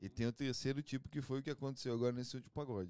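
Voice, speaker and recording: The recording is very clean, and nothing is heard behind the voice. Its tone is dark and mellow. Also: man. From Curitiba, southern Brazil. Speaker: pagode band musician. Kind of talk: casual chat.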